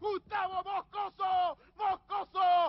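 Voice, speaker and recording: Crowd noise fills the background as a man shouts at an extremely high pitch. His intonation is monotone and flat. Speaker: football radio commentator. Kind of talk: live sports commentary. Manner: exalted goal-call, shouted, rising.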